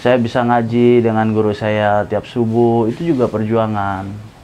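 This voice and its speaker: Someone speaks at a fairly slow pace with fairly even intonation over noticeable background noise. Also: man. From Jakarta, Indonesia (Batak family). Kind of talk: interview testimony.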